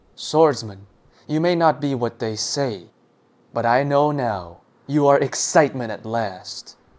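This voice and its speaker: This is a put-on character voice that booms. The pace is fairly slow. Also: man, medium pitch for a man. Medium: read story.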